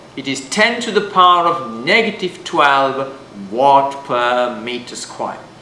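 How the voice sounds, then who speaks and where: Noticeable background noise and audible room echo surround a man talking at a fairly slow pace. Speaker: physics teacher. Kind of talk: lecture. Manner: loud.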